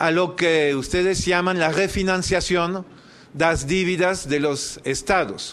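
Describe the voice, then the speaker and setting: Over audible room echo, a man with a high pitch talks at a very slow pace, his intonation fairly even and his loudness very even. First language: French (speaking Spanish). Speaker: activist, debt campaign leader. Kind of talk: formal speech at public hearing. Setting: senate committee hearing. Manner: formal.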